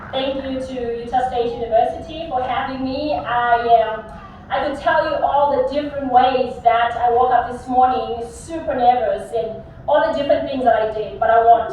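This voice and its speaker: A woman's high-pitched voice at a moderate pace, with audible room echo and noticeable background noise. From South Africa, Eastern Cape. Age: 30s. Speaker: teacher, keynote speaker. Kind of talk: commencement speech. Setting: stage with audience. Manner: animated; halting.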